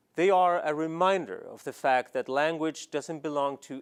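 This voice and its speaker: A man's fairly high voice with a slight Scandinavian accent, ordinary pitch variation and a moderate pace. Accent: slight foreign accent with Scandinavian lilt. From Sweden. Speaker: novelist and academic. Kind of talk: scripted commentary essay. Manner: measured, formal.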